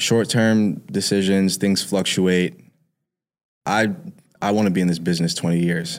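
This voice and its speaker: A man with a New York accent speaks in a very deep, low voice at a moderate pace. His intonation is fairly even, broken by long, frequent pauses. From New York, Harlem. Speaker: music producer. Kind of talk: casual interview.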